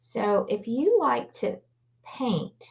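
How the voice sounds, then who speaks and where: A woman with a Louisiana accent and vocal fry. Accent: Southern US (Louisiana). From Louisiana, New Orleans. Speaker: artist and painting instructor. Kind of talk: live painting tutorial. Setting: livestream. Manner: casual, chatty.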